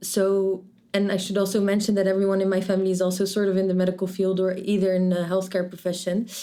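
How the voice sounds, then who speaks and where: A woman speaks in a Dutch accent at medium pitch. Her tone is dark and mellow. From Netherlands, Rotterdam. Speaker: medical student. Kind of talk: interview. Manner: halting, many restarts.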